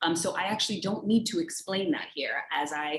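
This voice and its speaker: Here a woman is speaking. She has an American accent. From New York and Dominican Republic. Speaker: panelist. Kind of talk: virtual panel discussion. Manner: halting, many fillers.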